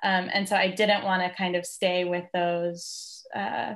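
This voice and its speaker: This woman has an American accent and a medium pitch. She keeps a moderate pace and fairly even intonation against a quiet background. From United States. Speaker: art historian. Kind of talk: interview. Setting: video call. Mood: friendly, smiling. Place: home room. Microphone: video call.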